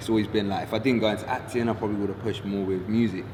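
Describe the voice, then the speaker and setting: A man's fairly low-pitched voice amid noticeable background noise and audible room echo. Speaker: actor. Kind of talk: casual interview.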